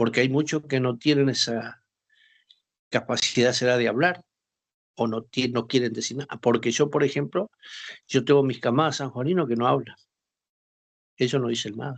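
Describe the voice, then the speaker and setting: A man talks at a moderate pace, his pitch medium and his intonation fairly even. He takes long, frequent pauses against a quiet background. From northern Argentina, Formosa. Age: 60s. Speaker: war veteran. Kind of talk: interview.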